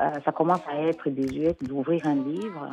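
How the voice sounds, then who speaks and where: A woman's very deep, low voice with ordinary pitch variation over noticeable background noise. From Cameroon, raised in Switzerland. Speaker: children's author and storyteller. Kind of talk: interview answer. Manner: hesitant, many fillers.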